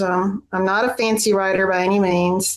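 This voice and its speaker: In a Southern US accent, a woman is talking. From Tennessee. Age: 60s. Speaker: poet. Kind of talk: prepared remarks; casual chat.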